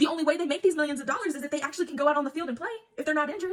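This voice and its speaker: A woman speaks in an animated tone with a high pitch. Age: 20s. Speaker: sports commentator. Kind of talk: casual monologue.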